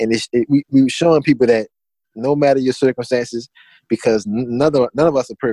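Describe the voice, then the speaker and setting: A man with a Louisiana accent talks at a fairly quick pace in a dark, mellow tone. His intonation is fairly even, and the sound is dry and close with no echo. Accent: Southern US, Louisiana. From Louisiana, Assumption Parish. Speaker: clothing brand founder. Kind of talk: interview.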